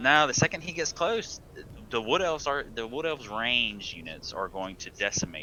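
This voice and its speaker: Speaking with a Southern US accent, a man shows very wide pitch swings around a medium pitch. There is vocal fry, and the pace is moderate. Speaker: game streamer. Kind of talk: live commentary. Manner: halting, stumbles over words.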